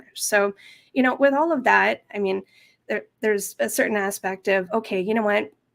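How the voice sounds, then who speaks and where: A woman with a Canadian accent speaks in a plain, everyday voice at a moderate pace with ordinary pitch variation, on a very clean recording with a silent background. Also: medium pitch for a woman. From western Canada (Kelowna, British Columbia). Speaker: language teacher and course creator. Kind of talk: interview.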